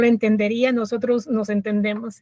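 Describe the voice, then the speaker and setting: A woman with a Costa Rican accent, fairly high and somewhat breathy, at a moderate pace, dry and close with no echo. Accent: Costa Rican, rolled-back R. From Costa Rica, Grecia de Alajuela. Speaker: podcast guest sharing life story. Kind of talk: personal testimony interview. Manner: halting, many fillers and repetitions.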